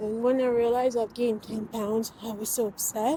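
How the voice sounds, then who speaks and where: At a fairly quick pace, a woman speaks with a fairly high pitch, a dark, mellow tone, a somewhat breathy quality and fairly even intonation. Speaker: weight loss vlogger. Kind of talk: casual vlog. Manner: whispering.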